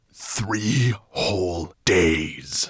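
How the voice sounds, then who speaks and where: A man's put-on character voice, growling and raspy, at a fairly low pitch. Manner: menacing, growling.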